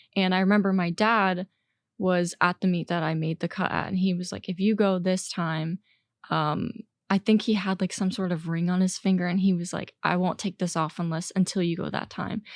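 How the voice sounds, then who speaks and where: An American woman talks at a moderate pace, her medium pitch held in a monotone, flat line. The recording is very clean and dry, close with no echo over a silent background. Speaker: college swimmer and graduate student. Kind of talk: interview conversation. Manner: halting, with fillers.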